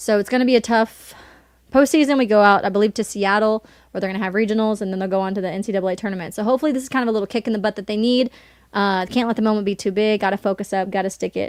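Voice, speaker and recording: Speaking very fast with a slight Southern US accent, a woman at medium pitch comes through in a very clean, silent-background recording with a dry, close sound and no echo. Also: fairly even intonation. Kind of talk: casual chat.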